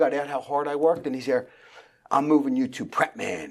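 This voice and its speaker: A man in a strong Philadelphia accent speaks at a fairly quick pace, with a fairly high pitch and ordinary pitch variation. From Philadelphia, far northeast. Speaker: real estate team founder. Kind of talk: interview. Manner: halting.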